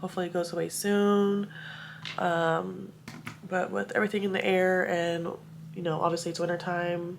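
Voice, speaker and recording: Pausing long and often, a woman with a fairly low pitch talks in a monotone, flat intonation amid audible room echo. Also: moderate pace. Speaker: lifestyle vlogger. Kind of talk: vlog narration.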